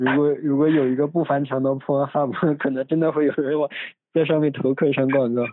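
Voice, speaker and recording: Very even in loudness, a man's fairly high voice moves at a fairly quick pace with monotone, flat intonation. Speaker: podcast host. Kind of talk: casual chat. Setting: recorded at family home. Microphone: phone instead of microphone, low quality.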